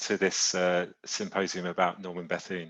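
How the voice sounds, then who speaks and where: A man speaks with a British accent at a moderate pace. His pitch is very deep and low. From Britain. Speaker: publishing executive. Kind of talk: presentation. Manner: halting.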